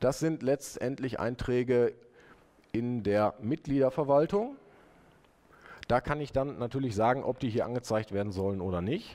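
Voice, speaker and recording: His pitch shifts by a normal amount. The man speaks at an average speed. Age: 30s. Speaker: web developer presenting his software; conference presenter. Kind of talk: conference talk with live demo. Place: hall.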